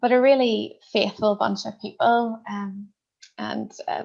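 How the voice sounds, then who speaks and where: A woman speaks with a Northern Irish accent. Her pace is moderate. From Northern Ireland. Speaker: minister. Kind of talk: interview.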